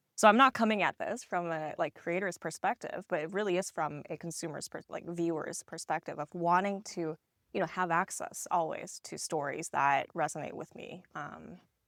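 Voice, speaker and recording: A woman with a Korean accent speaks at a fairly low pitch with ordinary pitch variation, in a dry, close sound with no echo. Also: moderate pace. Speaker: tech company co-founder. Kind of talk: podcast interview. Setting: live at a tech conference.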